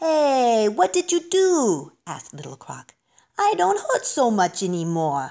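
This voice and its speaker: A put-on character voice with a fairly high pitch moves at a fairly slow pace on a very clean recording with a silent background. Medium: read story.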